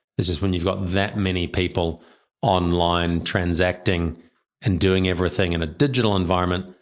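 A very deep, low-pitched man with a New Zealand accent at a fairly quick pace. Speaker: payments company director. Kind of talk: interview.

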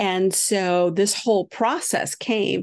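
In an American accent, a woman with a plain, everyday voice speaks at a medium pitch with fairly even intonation, the sound dry and close with no echo against a quiet background. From upstate New York. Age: 60s. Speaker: spiritual healer and teacher. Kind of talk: interview about spirituality. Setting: remote call from a houseboat.

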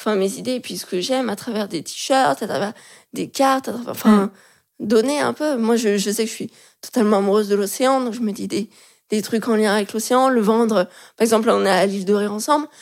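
An unremarkable speaking voice belongs to a woman with fairly high pitch and ordinary pitch variation. She speaks at a fairly quick pace in a very clean recording with a silent background. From France, Lyon. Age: 20s. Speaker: illustrator and graphic designer. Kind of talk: casual interview chat.

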